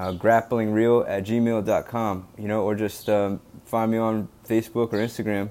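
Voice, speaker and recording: A man with a Mid-Atlantic US accent speaks fairly slowly in a fairly low pitch. His tone is dark and mellow, his intonation monotone and flat. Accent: American Mid-Atlantic. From US, Delaware. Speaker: podcast host, former wrestler. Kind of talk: solo podcast monologue. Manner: halting, many fillers.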